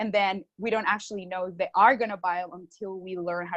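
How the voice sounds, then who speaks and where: In a Spanish accent, a woman talks at a very fast pace with a medium pitch, in a dry, close sound with no echo. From Colombia. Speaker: marketing consultant. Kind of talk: podcast interview.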